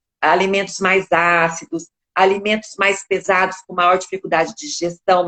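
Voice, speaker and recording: Recorded with a dry, close sound and no echo, a woman with a normal speaking voice talks at a moderate pace and medium pitch. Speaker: speech therapist. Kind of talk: interview answer.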